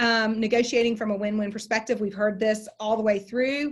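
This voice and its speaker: A woman's fairly high voice, with an American accent. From Texas. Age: 40s. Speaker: continuing education instructor, closing attorney. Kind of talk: online lecture.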